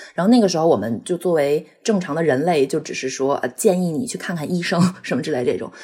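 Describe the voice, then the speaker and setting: A woman's fairly low, dark, mellow voice, very fast with hardly any pauses and lively intonation. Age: 30s. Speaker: pet owner sharing bereavement story. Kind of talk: personal testimony. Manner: halting, with fillers and repetitions.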